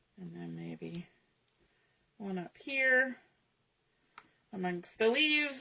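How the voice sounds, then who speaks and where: A woman mumbles at a very slow pace in a bright, sharp tone. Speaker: crafter demonstrating scrapbooking. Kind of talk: live crafting tutorial. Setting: online livestream. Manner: mumbling; casual, thinking aloud.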